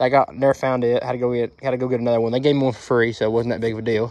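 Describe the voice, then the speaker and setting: The man talks at a very fast pace, and the sound is dry with no echo. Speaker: mower owner reviewer. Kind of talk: casual product review. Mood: mildly annoyed, casual. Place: street. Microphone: phone near.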